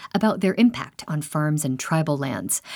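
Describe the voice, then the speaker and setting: A woman with an unremarkable speaking voice talks at a moderate pace, her pitch showing ordinary variation. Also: very clean recording, silent background. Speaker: radio host. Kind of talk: news reading. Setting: studio.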